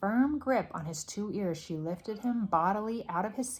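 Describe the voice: The speaker gives a plain reading aloud with lively intonation.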